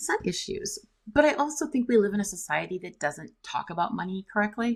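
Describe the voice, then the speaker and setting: A woman's fairly high, somewhat breathy voice at a fairly quick pace, with very wide pitch swings. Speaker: debt and credit attorney. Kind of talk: casual interview chat. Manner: fast.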